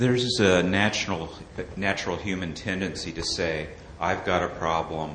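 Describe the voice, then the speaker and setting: A moderate pace and fairly even intonation, with noticeable noise behind the voice. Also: man. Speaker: audience member asking questions. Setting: conference hall with audience.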